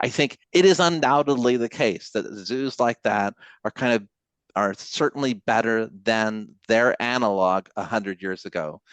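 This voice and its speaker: The sound is dry and close with no echo, and the background is quiet. A man at medium pitch speaks fairly slowly with lively intonation. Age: 60s. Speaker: history professor. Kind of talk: casual interview conversation. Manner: halting, many fillers and restarts.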